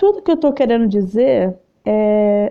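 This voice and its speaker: Speaking at a fairly slow pace, a woman has a fairly high pitch and a plain, everyday voice. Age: 30s. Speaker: podcast host and video creator. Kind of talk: casual personal monologue.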